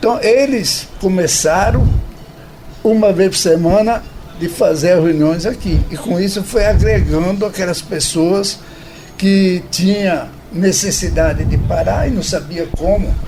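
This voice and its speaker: Over noticeable background noise and audible room echo, a man with a high pitch speaks fairly slowly with ordinary pitch variation. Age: 80s+. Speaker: recovering alcoholic, support group member. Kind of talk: radio interview, personal testimony. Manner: halting, with repetitions.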